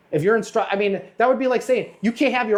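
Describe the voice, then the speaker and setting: The speech runs at a very fast pace. Background noise is noticeable. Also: man. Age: 50s. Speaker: podcast host, auto glass business owner. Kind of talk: casual chat. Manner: halting, many false starts.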